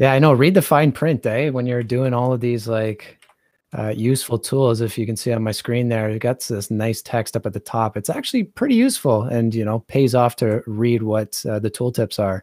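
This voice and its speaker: At a moderate pace and medium pitch, a man with an unremarkable speaking voice uses fairly even intonation in a dry, close sound with no echo. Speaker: 3D artist and tutorial narrator. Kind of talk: casual chat while working. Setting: video call.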